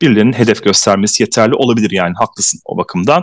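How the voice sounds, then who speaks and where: A man with a fairly low pitch speaks very fast, the sound dry and close with no echo. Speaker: podcast host. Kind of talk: casual chat.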